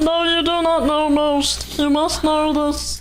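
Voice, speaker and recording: In a put-on character voice, someone speaks high-pitched at a fairly slow pace. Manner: ominous, grandiose monologue.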